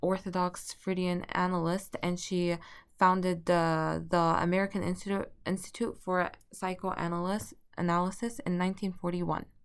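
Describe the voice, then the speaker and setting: A woman with a non-native accent, medium pitch and moderate pace, on a very clean recording with a silent background. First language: not English. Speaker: student. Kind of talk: class presentation. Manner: halting, with stutters and restarts.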